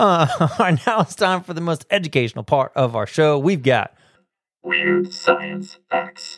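A man's high-pitched, animated, playful voice with lively intonation, at a fairly slow pace over music in the background. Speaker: school radio host. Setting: school PA system morning broadcast. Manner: animated, playful, cheery, teasing, punchy showman delivery.

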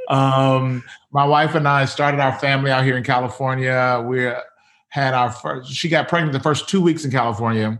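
In an American accent, a man with an unremarkable speaking voice talks at a moderate pace, using a medium pitch and fairly even intonation. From US South, Mississippi. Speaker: pastor. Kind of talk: casual interview conversation.

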